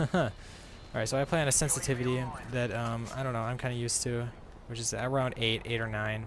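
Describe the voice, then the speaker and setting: A man at medium pitch speaking at a fairly quick pace, with noticeable background noise. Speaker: gaming YouTuber. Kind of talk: live gameplay commentary. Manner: fast; animated.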